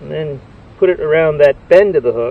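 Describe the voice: A man speaks at a moderate pace with vocal fry and a fairly high pitch. His pitch varies in an ordinary way.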